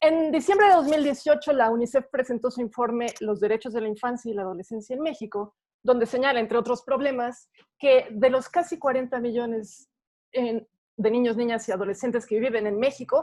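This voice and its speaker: A woman's high pitch with ordinary pitch variation at a fairly quick pace. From Mexico. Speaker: philosopher and feminist activist. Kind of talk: prepared talk. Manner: fast.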